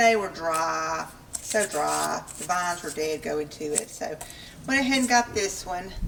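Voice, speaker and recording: Amid noticeable background noise, a woman with a Southern accent speaks at a very slow pace. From US South. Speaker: homesteading vlogger. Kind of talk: casual cooking and garden vlog. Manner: casual, chatty with fillers.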